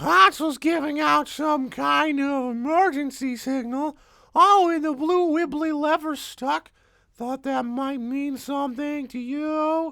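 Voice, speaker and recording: A woman's put-on character voice, high-pitched and fairly slow. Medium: audio drama. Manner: teasing.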